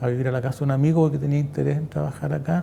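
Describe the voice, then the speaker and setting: A man's voice, fairly high in pitch. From central Chile, Quillota. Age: 60s. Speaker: former factory worker and political activist. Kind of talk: oral history testimony interview.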